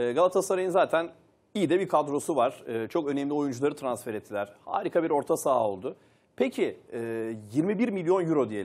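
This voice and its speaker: A man talks at a fairly quick pace with a fairly high pitch. His voice moves through very wide pitch swings. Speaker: sports TV presenter. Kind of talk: panel discussion. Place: studio. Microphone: lapel.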